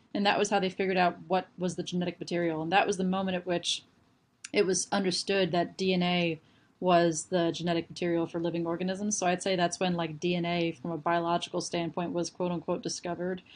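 Her pitch fairly low, a woman talks at a fairly quick pace. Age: 20s. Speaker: molecular biology student. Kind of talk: educational explanation. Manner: animated.

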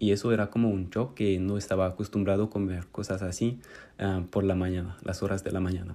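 At a fairly quick pace, a man speaks with a fairly low pitch and a dark, mellow tone. His intonation is monotone and flat. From France. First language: French (speaking Spanish). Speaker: Spanish student. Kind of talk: recorded monologue.

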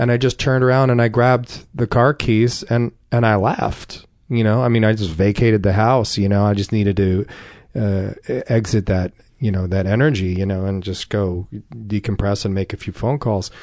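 A man with a New Jersey accent, a fairly low pitch and a moderate pace, over a quiet background. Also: ordinary pitch variation. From North Jersey. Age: 40s. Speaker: recovering addict. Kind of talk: testimony.

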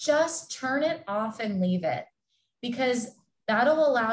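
Somewhat breathy, a woman with an American accent speaks at a fairly slow pace with lively intonation. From Southern California. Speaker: sports dietitian. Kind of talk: casual interview.

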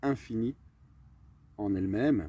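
A man has a normal speaking voice, with a medium pitch and ordinary pitch variation. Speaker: entrepreneur and mindset coach. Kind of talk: casual interview. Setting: outdoors in a garden.

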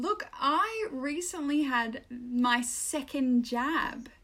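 A woman with an Australian accent and an animated tone, amid noticeable background noise. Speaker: podcast co-host. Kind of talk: casual chat. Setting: remote recording.

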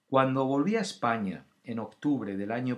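This man's voice sits at a medium pitch, and he talks fairly slowly. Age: 50s. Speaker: podcast host, former actor. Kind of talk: casual solo talk. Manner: hesitant, filler-heavy.

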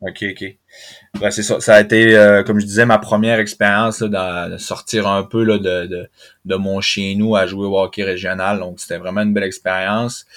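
A man's fairly low voice, monotone and flat, at a moderate pace in a very clean recording with a silent background. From Quebec, Saguenay (Chicoutimi). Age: 30s. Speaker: professional hockey player. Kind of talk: interview.

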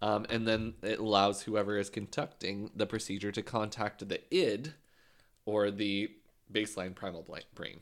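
Here is a man with an unremarkable speaking voice, fairly low in pitch and fairly even in intonation. He keeps a moderate pace in a very clean recording with a silent background. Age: 20s. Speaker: podcast co-host. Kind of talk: casual chat.

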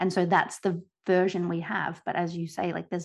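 A woman with an Australian accent, fairly low in pitch, at a moderate pace against a quiet background. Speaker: podcast co-host, researcher. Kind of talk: casual chat.

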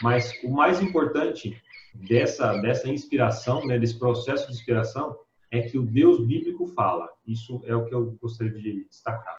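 Somewhat breathy, a man talks at a moderate pace. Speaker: Bible study participant. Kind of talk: Bible study discussion.

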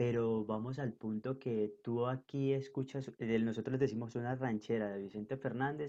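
At a moderate speed, this man talks with a medium pitch that varies in an ordinary way. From northern Colombia, Caribbean coast. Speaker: podcast guest. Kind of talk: casual interview chat. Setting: video call.

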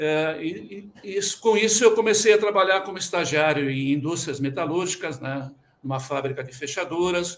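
With lively intonation and big swings in loudness, a high-pitched man speaks at a moderate pace. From Rio Grande do Sul, Brazil. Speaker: quality management consultant and auditor. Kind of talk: interview.

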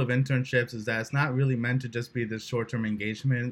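With a New Jersey accent, a man speaks very fast at a medium pitch. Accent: New Jersey American. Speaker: podcast host. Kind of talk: casual interview chat.

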